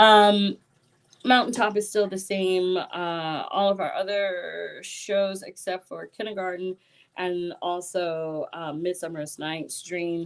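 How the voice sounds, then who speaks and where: Speaking at a very slow pace, a woman keeps a medium pitch. Her intonation is fairly even. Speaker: theatre artistic director. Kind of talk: live-stream announcement. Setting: live stream from home.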